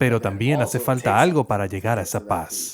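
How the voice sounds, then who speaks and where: In a very clean recording with a silent background, a man sounds somewhat breathy, with ordinary pitch variation. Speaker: voice actor doing Spanish dubbing. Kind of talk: dubbed voice-over of a panel discussion on mental health.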